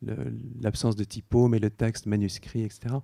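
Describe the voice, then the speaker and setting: The voice has a dark, mellow tone with a Dutch accent. The sound is dry and close, with no echo. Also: man. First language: Dutch (speaking French). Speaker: illustrator and picture book artist. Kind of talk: on-stage interview. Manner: hesitant, many fillers.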